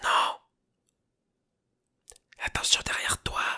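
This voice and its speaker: The speaker is whispering at a very slow pace. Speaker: sound effects recordist. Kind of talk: sound effect recording. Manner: whispered.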